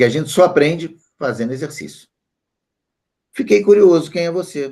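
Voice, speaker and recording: Lively in intonation, a man talks at a moderate pace with a fairly high pitch and a dark, mellow tone. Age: 60s. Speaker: statistics teacher. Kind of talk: online class.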